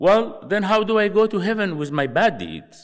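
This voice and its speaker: A man talks with vocal fry in his voice. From Sudan. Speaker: missionary. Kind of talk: chapel talk. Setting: stage with audience.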